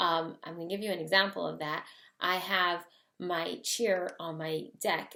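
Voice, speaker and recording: A woman speaks with a bright, sharp tone at a medium pitch. Vocal fry runs through her voice. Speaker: interior designer. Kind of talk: casual vlog tutorial. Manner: fast; animated.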